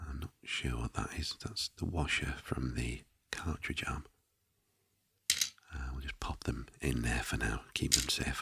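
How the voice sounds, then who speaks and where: The speaker is soft-spoken, at a fairly slow pace. Long, frequent pauses break up the speech. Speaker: retro console restorer. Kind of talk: ASMR soft-spoken role play.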